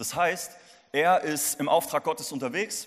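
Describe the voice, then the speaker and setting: Moving at a moderate pace, a high-pitched man sounds animated, with lively intonation. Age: 20s. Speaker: youth pastor. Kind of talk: sermon. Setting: church service.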